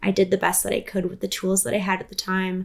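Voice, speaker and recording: The speaker is a woman with a Canadian accent. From Canada, British Columbia (Prince George area). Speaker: musician and vocal coach. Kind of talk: interview conversation.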